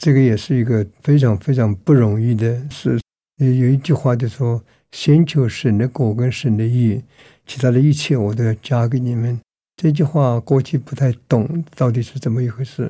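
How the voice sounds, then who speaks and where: The recording is very clean, with a silent background, and a man speaks at a medium pitch. His tone is dark and mellow, somewhat breathy, with big swings in loudness. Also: ordinary pitch variation, moderate pace. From Myanmar. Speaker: pastor. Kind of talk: testimony.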